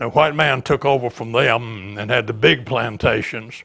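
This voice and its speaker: An Alabama accent at a fairly slow pace. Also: man. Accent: Southern US (Alabama). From US South, Baldwin County, Alabama. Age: 90s. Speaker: retired teacher and local historian. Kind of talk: oral history interview. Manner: halting, frequent fillers and repeats.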